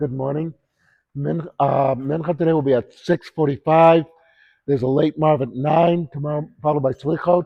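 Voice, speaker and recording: This is a man with a somewhat breathy voice. His pitch is fairly high. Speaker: synagogue rabbi. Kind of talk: short sermon. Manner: casual.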